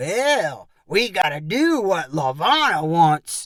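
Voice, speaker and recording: A man speaks very slowly in a put-on character voice. His pitch sits high for a man. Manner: mocking.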